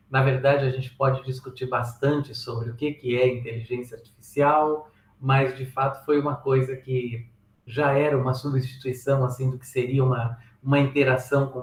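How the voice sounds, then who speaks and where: Somewhat breathy, a man speaks at a medium pitch in a monotone, flat intonation. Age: 60s. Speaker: software engineering speaker and author. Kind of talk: presentation talk.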